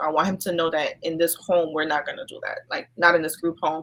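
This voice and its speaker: Here a woman speaks in a New York accent. Her pitch sits in the medium range. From New York, Brooklyn. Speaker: social worker. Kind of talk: casual interview. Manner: hesitant, many fillers.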